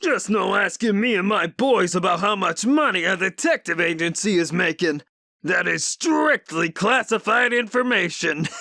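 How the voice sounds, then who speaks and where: A man performs a put-on character voice, high in pitch. He projects it in a raised voice at a moderate pace. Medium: audio drama. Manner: loud, blustering.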